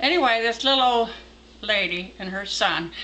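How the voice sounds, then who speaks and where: Over noticeable background noise, a woman with an American accent speaks with lively intonation. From Texas. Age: 80s+. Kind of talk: folk tale storytelling.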